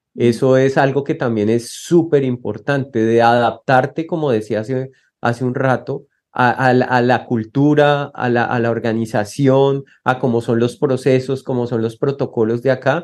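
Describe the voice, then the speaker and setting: A man speaks at a fairly slow pace in a medium pitch, his intonation fairly even, against a quiet background. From Colombia. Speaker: asylum seeker. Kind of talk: interview. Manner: halting.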